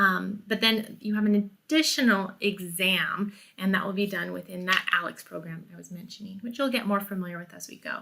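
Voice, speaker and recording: A woman speaks at a fairly quick pace. Her fairly high pitch comes with a bright, sharp tone. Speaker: college math instructor. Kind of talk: tutorial. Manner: fast.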